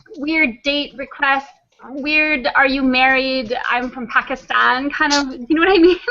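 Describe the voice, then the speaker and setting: A woman's raised, projected voice, high in pitch, with fairly even intonation at a fairly slow pace. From Canada. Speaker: flat earth video creator and translator. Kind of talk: casual chat.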